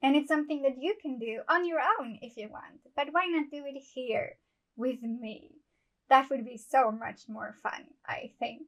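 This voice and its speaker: In a non-native accent, a woman with high pitch talks at a fairly slow pace. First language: not English. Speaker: amateur writer and book channel host. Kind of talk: scripted monologue to camera.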